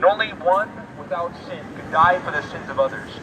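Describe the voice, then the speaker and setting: There is noticeable background noise behind a man speaking. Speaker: street preacher. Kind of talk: sermon. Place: street. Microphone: camera far.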